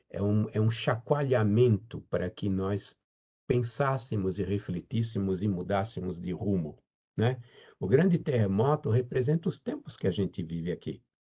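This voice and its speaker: A man's fairly low, somewhat breathy voice with a dark, mellow tone and lively intonation. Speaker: spiritist lecturer. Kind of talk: lecture.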